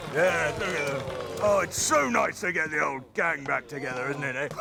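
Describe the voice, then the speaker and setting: Amid clear background noise, a put-on character voice moves along at a moderate pace. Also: man, fairly high pitch for a man. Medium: comedy sketch. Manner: jovial, laughing, bluff.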